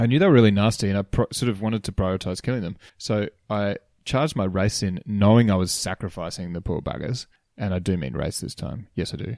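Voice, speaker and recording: Speaking in an Australian accent, a man shows ordinary pitch variation. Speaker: tabletop wargaming podcast co-host. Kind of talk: casual chat.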